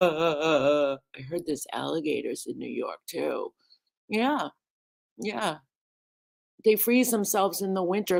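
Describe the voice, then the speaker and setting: The speaker talks at a fairly slow pace, with vocal fry and lively intonation. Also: woman. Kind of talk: casual livestream talk.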